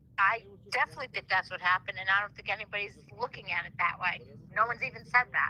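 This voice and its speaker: Speaking very fast with a Rhode Island accent, a woman holds a medium pitch and ordinary pitch variation. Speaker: caller. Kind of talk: call-in theory discussion. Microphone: echo on phone line.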